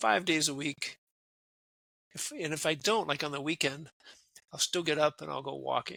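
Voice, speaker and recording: A man with an Upper Midwest accent talks at a moderate pace with a fairly high pitch and vocal fry. He leaves long, frequent pauses. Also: ordinary pitch variation. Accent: Upper Midwest American. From US Midwest (Wisconsin). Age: 60s. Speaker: retired military officer and career coach. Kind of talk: casual interview.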